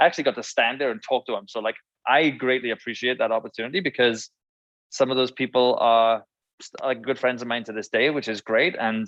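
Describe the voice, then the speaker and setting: This man talks at a fairly quick pace with a Welsh accent. His pitch sits in the medium range. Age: 30s. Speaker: former band musician. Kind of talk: casual chat. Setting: live stream interview.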